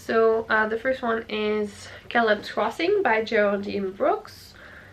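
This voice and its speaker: A woman with a fairly high pitch and ordinary pitch variation speaks at a very slow pace. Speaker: book YouTuber. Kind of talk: casual talk to camera.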